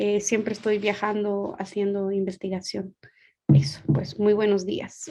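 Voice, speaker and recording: Fairly slow and medium-pitched, a woman talks with ordinary pitch variation. Her tone is dark and mellow. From Guatemala. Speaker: sociologist and researcher. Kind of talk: panel discussion.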